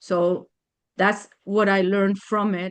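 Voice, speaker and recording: In a medium pitch, a woman talks at a very slow pace with monotone, flat intonation. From Germany. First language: not English. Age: 60s. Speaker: attorney. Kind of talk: testimony. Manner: halting.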